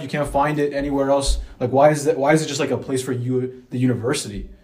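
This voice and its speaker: Against noticeable background noise, a man with a fairly high pitch talks at a very fast pace in a monotone, flat intonation with hardly any pauses. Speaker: student podcast fill-in co-host. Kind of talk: casual chat.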